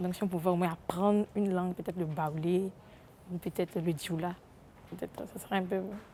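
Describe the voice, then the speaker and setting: A woman speaks fairly quickly in a dark, mellow tone, with fairly low pitch and monotone, flat intonation. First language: Hebrew (speaking French). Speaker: interviewee in street poll. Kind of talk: vox pop interview.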